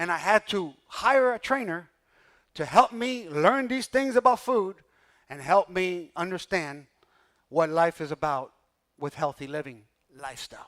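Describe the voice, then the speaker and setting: A man with a high pitch talks in an animated tone, with very wide pitch swings and big swings in loudness at a fairly slow pace, leaving long, frequent pauses. The sound is dry and close with no echo, in a very clean recording with a silent background. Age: 60s. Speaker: pastor. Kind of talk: sermon.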